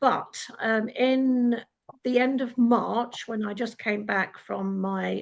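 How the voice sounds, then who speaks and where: A woman speaks with an English accent. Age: 70s. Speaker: retired personal assistant. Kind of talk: panel discussion.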